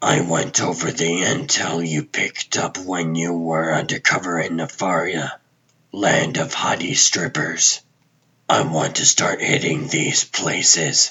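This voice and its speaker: A raspy, put-on character voice from a man, very deep and low in pitch, with ordinary pitch variation at a fairly slow pace. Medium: fan dub. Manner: terse, clipped.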